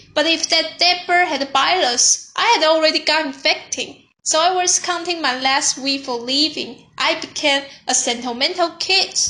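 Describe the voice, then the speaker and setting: A woman speaks in a raised, projected voice at an extremely high pitch, her bright, sharp tone carrying ordinary pitch variation at a moderate pace with a non-native accent. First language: not English. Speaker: youtuber. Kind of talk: personal storytelling monologue.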